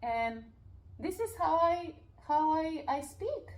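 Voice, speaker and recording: Loud and high-pitched, a woman with a Peruvian accent speaks with very wide pitch swings over noticeable background noise. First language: Spanish. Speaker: life coach and real estate investor. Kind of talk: interview conversation. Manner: animated.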